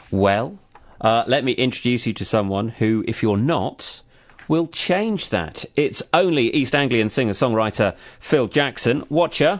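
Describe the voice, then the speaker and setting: Here a man speaks with an English accent at a medium pitch. His pace is fairly slow and his intonation lively. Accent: generic English. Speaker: radio host. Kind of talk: radio interview.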